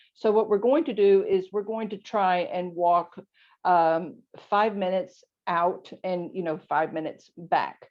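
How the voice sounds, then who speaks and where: A plain, everyday voice at a fairly slow pace, with ordinary pitch variation. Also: woman, medium pitch for a woman. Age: 60s. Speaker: author and lifestyle coach. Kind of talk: podcast interview.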